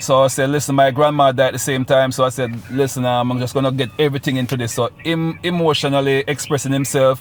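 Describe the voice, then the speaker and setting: At a very fast pace with hardly any pauses, a man of medium pitch talks in a monotone, flat intonation over noticeable background noise. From Jamaica, Saint Ann. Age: 40s. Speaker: reggae / dancehall artist. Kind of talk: radio interview.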